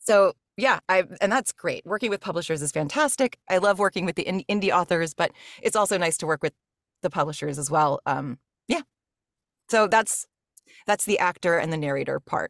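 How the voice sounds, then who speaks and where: With a Mid-Atlantic American accent, a woman talks at a fairly quick pace and medium pitch, her intonation lively and broken by long, frequent pauses. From US, rural Maryland. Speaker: voice actor and audiobook narrator. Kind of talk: casual interview chat.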